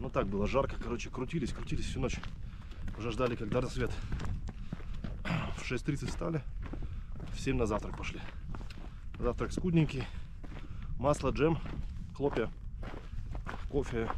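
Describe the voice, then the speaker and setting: With noticeable background noise and a dry sound with no echo, a man speaks at a moderate pace with ordinary pitch variation and long, frequent pauses. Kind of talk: casual vlog chat. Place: open country. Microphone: phone near.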